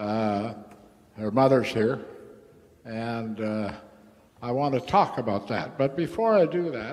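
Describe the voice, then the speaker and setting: With audible room echo, a man speaks at a fairly slow pace and medium pitch, with ordinary pitch variation and long, frequent pauses. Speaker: recovering alcoholic speaker. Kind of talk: AA meeting talk. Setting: meeting hall with audience. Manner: casual, halting with fillers.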